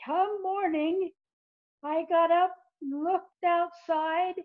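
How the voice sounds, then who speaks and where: Speaking at a very slow pace, a woman has a squeaky voice pitched extremely high. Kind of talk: folksy tall-tale storytelling. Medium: solo performance. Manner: chatty, conversational, addresses the listener directly.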